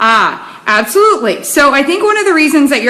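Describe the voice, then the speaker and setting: Amid audible room echo and noticeable background noise, a woman talks at a fairly quick pace. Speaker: nutrition expert. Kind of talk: live stream talk. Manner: fast.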